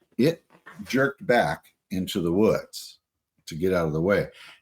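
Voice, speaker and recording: Vocal fry runs through this man's voice at a moderate pace. His pitch swings very widely. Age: 60s. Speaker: interviewee recounting Bigfoot encounters. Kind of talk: testimony. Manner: halting with fillers.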